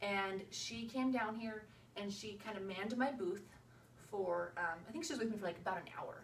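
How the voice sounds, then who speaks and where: A medium-pitched woman talks at a fairly quick pace. Noticeable background noise and audible room echo surround her. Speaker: direct sales consultant. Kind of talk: video tutorial. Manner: fast; casual, filler-heavy.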